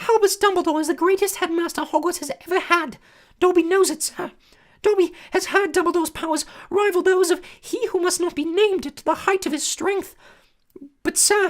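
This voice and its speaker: Put-on character voice, extremely high, squeaky and hoarse, at a moderate pace. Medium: read story. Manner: speaks of himself and others in third person, servile.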